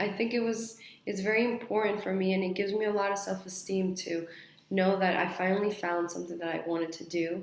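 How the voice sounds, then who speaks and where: A woman with a Spanish accent talks at a fairly quick pace in a medium pitch, her intonation fairly even. The room echo is audible and the background noise is noticeable. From mixed: Spain, Mexico, Australia, Saudi Arabia, then US. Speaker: university student. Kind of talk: mock job interview answers.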